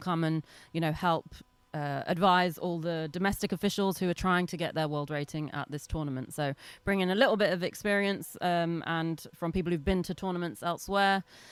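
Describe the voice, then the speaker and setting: A woman with an English accent speaks at a fairly low pitch. Her pace is moderate and her intonation fairly even. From England, London. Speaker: lacrosse referee. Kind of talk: interview.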